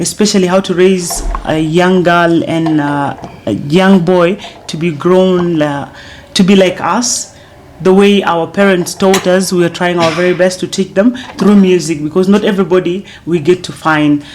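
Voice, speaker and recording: Noticeable background noise sits behind a woman with a fairly low pitch. She keeps a moderate pace and fairly even intonation. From South Sudan. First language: Dinka. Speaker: singer. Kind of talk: interview. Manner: halting.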